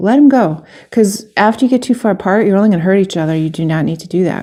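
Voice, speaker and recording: On a very clean recording with a silent background, a woman speaks at a medium pitch in a dark, mellow tone with ordinary pitch variation. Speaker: personal development coach. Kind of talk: casual vlog monologue. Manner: fast.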